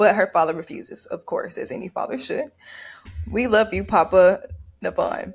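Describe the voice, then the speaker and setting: With a Memphis accent, a woman speaks at a moderate pace. She leaves long, frequent pauses. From US South, Memphis. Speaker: podcast co-host. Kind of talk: reading prepared recap. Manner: halting over names.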